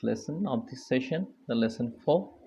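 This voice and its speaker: This man talks at a fairly slow pace with a Bengali accent. His pitch varies in an ordinary way. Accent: Indian English, Bengali. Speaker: mentor, lecturer. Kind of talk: motivational lecture. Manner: halting, many fillers.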